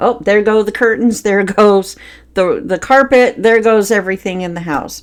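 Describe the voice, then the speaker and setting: Woman's voice, an ordinary speaking voice, medium in pitch with ordinary pitch variation at a moderate pace. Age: adult. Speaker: podcast host. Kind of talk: personal storytelling monologue.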